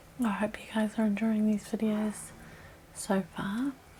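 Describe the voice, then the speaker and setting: A soft-spoken woman with a gentle tone and medium pitch speaks at a fairly slow pace. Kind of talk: ASMR makeup tutorial, whispered to camera. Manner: soft-spoken, gentle, relaxing.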